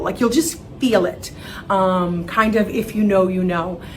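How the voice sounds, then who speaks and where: A woman speaks at a fairly slow pace with ordinary pitch variation. Noticeable background noise and audible room echo fill the recording. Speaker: wig expert and seller. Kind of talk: tutorial. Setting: studio. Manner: casual, friendly.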